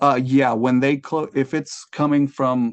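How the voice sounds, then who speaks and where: The speech has fairly even intonation against a quiet background. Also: man. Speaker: city solid waste staff presenter. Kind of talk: committee presentation and Q&A. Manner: fast.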